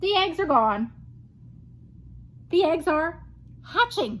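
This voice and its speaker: Over light background noise, a woman uses a put-on character voice at an extremely high pitch and a fairly slow pace. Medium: read story. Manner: calm, matter-of-fact.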